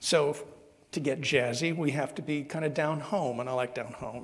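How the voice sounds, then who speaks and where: With an American accent, a man speaks in fairly even intonation while audible room echo surrounds his voice. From Southern Ohio. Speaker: minister. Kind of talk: sermon. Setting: church service. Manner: halting.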